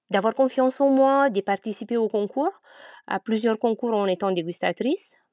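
A woman with a Romanian accent speaks in a dark, mellow tone with a fairly high pitch and ordinary pitch variation. The sound is dry and close, with no echo, and the background is quiet. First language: Romanian (speaking French). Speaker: winegrower. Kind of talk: interview. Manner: hesitant.

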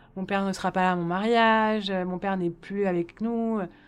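Very clean recording with a silent background. A woman talks at a moderate pace with monotone, flat intonation. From Paris, France. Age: 30s. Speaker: quadruple amputee and hand transplant recipient. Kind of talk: personal testimony. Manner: hesitant, frequent fillers and repetitions.

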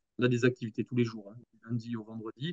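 A man's voice, dry and close with no echo. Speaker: nursing home director. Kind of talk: interview conversation. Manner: halting, frequent hesitations and repetitions.

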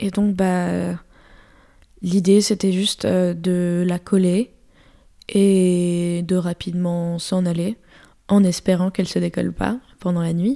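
Her voice has a medium pitch and a dark, mellow tone, and the woman is captured on a very clean recording with a silent background. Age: 20s. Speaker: street artist. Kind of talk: interview. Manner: halting.

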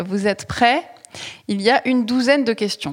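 A woman has an unremarkable speaking voice, fairly high in pitch. Her pitch variation is ordinary and her pace fairly slow. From Toulouse. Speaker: journalist, podcast host. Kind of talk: interview.

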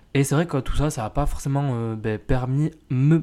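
This man's pitch sits fairly high. His intonation stays fairly even. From France. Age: 20s. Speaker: podcast host. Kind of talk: casual personal monologue. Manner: hesitant, many fillers.

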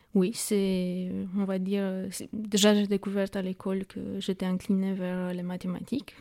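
A woman with a Romanian accent, medium pitch, a dark, mellow tone, monotone, flat intonation and a fairly slow pace. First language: Romanian (speaking French). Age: 30s. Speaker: startup co-founder. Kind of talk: interview. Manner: halting.

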